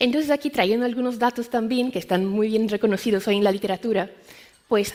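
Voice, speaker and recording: A woman talks at a fairly quick pace. Her fairly high pitch shows ordinary variation. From Brazil. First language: Portuguese (speaking Spanish). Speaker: medical science liaison. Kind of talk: conference talk.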